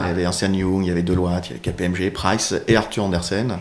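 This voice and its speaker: This is a man with a fairly low-pitched voice. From northern France. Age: 40s. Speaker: e-commerce CEO. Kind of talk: interview. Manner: hesitant, many fillers.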